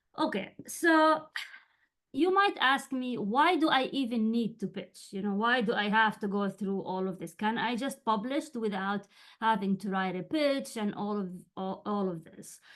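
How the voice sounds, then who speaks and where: Against a quiet background, a woman with a Jordanian accent speaks at a fairly high pitch with lively intonation. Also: fairly slow pace. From Jordan (Amman). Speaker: writing coach and journalist. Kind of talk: webinar lecture. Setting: video call webinar. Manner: halting, many fillers.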